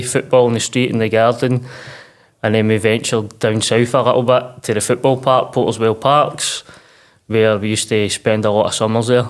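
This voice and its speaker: Speaking with a Lanarkshire accent, a man talks at a fairly quick pace. His medium-pitched voice stays flat and monotone. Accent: Scottish (Lanarkshire). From Scotland, Uddingston near Glasgow. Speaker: mental health podcast guest, clothing brand founder. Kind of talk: casual interview.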